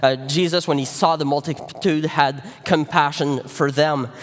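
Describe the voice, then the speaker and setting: Against noticeable background noise, a man with a Quebec accent speaks at a moderate pace in a fairly high pitch with fairly even intonation. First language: French. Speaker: pastor. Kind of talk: sermon. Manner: halting, many fillers.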